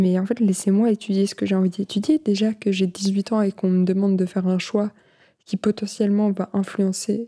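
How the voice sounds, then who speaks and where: The voice is somewhat breathy with a dark, mellow tone and monotone, flat intonation at a moderate pace, in a dry, close sound with no echo on a very clean recording with a silent background. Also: woman. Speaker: podcast host. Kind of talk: casual monologue. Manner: hesitant, many fillers.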